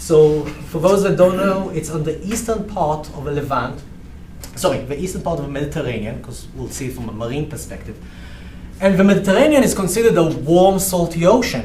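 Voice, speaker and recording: A man with a slight Israeli accent speaks in a fairly high pitch, with big swings in loudness. The room echo is audible, and background noise is noticeable. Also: lively intonation, fairly quick pace. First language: Hebrew. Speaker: research professor. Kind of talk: lecture. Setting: seminar room, also broadcast online. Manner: halting.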